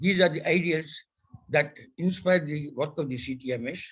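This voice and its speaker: A man's fairly high voice carries lively intonation at a moderate pace. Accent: Indian. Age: 90s. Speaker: telecom industry elder statesman. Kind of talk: ceremonial speech.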